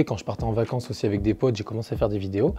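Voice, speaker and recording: A man talks with a dark, mellow tone at a medium pitch. His voice is somewhat breathy. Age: 20s. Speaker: YouTuber, former gendarme. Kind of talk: interview. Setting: indoor airsoft venue. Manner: halting, many fillers.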